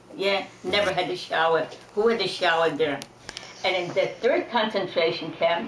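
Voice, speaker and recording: Against noticeable background noise, a woman speaks at medium pitch and a moderate pace, with very even loudness and ordinary pitch variation. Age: 80s+. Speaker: Holocaust survivor. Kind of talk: interview answer. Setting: home recording.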